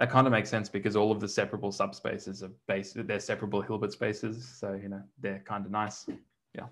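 A man with an Australian accent talks at a very fast pace in a fairly low pitch. His intonation is monotone and flat, with big swings in loudness. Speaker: mathematics lecturer. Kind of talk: lecture. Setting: online lecture, church bell audible in background. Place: home room.

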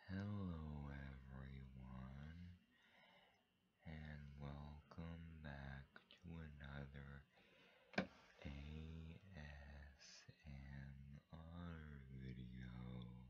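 The speaker is whispering and soft-spoken at a very slow pace. Long, frequent pauses break up the speech. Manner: soft-spoken, whispered.

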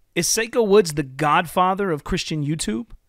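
Lively intonation carries a fairly slow delivery, with a dry sound, no echo and a quiet background. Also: man. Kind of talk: critical commentary video. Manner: earnest, preacherly. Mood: critical, confrontational. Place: home room. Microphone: studio mic.

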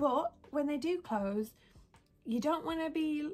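Her pitch shows ordinary variation as a woman speaks at a fairly slow pace. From West Midlands, England (near Birmingham). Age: 20s. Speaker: lifestyle and beauty vlogger. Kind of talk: casual vlog tutorial. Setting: home bedroom. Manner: chatty, rambling. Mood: relaxed, chatty. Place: home room. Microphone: phone near.

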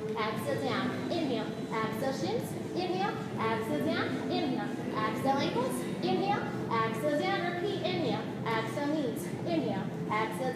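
A woman speaks at a fairly quick pace. Loud background noise and audible room echo are present. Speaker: fitness instructor. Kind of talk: workout instruction cueing. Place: gym. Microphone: camera far.

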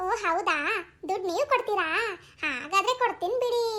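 In a squeaky, cartoonish character voice, a woman speaks at a moderate pace with extremely high pitch and lively intonation. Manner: chatty, friendly.

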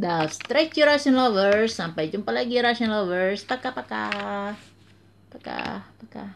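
A woman at a fairly slow pace, her pitch swinging very widely and her loudness rising and falling sharply, over light background noise. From Indonesia. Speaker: beauty vlogger. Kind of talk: product review. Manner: halting. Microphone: phone near.

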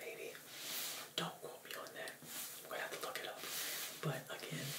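A man talks over loud background noise. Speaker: presenter. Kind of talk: casual tutorial-style book talk. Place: home room.

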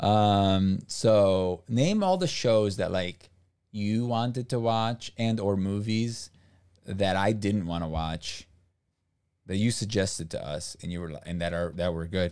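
In a quiet background, a man with an American accent and a plain, everyday voice talks at a fairly slow pace and a fairly low pitch, with ordinary pitch variation. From US, raised by Brazilian parents. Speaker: streamer. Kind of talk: casual chat. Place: home room. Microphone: studio mic.

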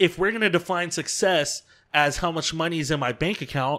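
A man speaks at a moderate pace in an American accent. His tone is bright and sharp, over a quiet background. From Southern California. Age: 20s. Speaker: DJ; podcast guest, DJ. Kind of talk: casual chat. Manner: laid-back, uses filler words a lot. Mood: relaxed, reflective. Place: home room. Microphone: studio mic.

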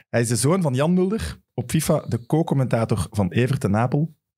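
A somewhat breathy man with a dark, mellow tone and lively intonation, at a moderate pace against a quiet background. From Flanders, Belgium. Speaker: football podcast host. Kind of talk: casual chat. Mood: cheerful, relaxed. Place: studio. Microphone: studio mic.

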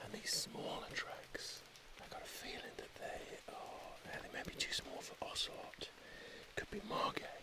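A man whispering at a fairly slow pace. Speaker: wildlife biologist and tracker. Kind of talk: field commentary to camera. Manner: whispered. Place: forest. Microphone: phone near.

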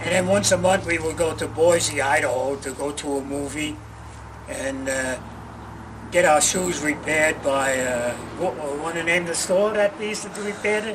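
A man speaks in a New York accent with lively intonation and a fairly high pitch. Noticeable background noise can be heard. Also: moderate pace. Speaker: war veteran. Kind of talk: oral history interview. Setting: in person at a museum. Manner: halting. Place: street. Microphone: camera far.

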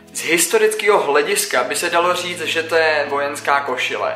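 Audible room echo surrounds a man's voice, with faint music in the background. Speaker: scout vlogger. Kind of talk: casual vlog chat. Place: home room.

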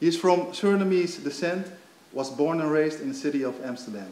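Lively intonation marks this man's Dutch accent at a fairly quick pace, with big swings in loudness. Audible room echo and light background noise are present. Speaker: event moderator. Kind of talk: panel moderation. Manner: halting. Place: stage. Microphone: handheld.

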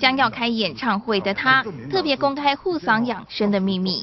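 A woman talks at a moderate pace in a fairly high pitch. Her pitch varies in an ordinary way over noticeable background noise. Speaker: news reporter. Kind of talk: TV news narration.

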